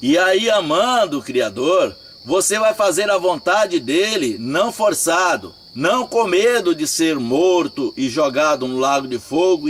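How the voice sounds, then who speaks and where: Very slowly, a man talks with very wide pitch swings over noticeable background noise. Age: 60s. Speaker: religious teacher. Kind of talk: religious talk. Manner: informal.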